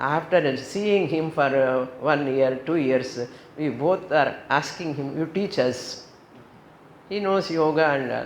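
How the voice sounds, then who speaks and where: This woman speaks very slowly in a very deep, low pitch with an Indian accent and ordinary pitch variation. Audible room echo surrounds her voice. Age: 70s. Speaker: yoga teacher and spiritual teacher. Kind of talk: spiritual talk.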